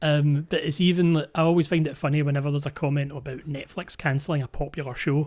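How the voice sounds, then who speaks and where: A man with a Scottish accent and a fairly high pitch talks at a very fast pace with hardly any pauses. His intonation is flat and monotone, on a very clean recording with a silent background. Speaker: podcast host. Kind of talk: casual chat.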